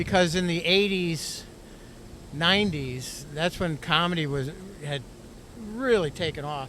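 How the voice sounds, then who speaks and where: With an American accent, a man speaks at a fairly slow pace with long, frequent pauses, a high pitch and ordinary pitch variation, over noticeable background noise. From Philadelphia area, US. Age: 60s. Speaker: comedian and magician. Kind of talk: casual interview chat. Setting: outdoors in a hot tub.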